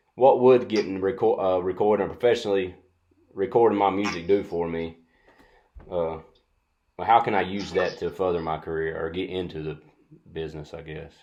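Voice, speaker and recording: Over a quiet background, a man with a very deep, low pitch and a dark, mellow tone talks at a fairly quick pace with ordinary pitch variation. His loudness swings a lot, and he makes long, frequent pauses. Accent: North Carolina. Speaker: music student and interviewer. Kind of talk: interview. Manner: halting.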